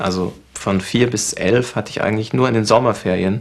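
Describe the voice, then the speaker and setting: A man with a plain, everyday voice speaks at a fairly quick pace, his pitch fairly low and his intonation fairly even. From Libya and Egypt (Tripoli, Cairo). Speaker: film director. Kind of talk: interview.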